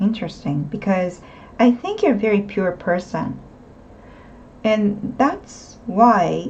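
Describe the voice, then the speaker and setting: A woman talks at a very slow pace. Her medium pitch shows ordinary pitch variation. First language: not English. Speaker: tarot reader. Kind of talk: tarot reading monologue. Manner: casual, hesitant with fillers.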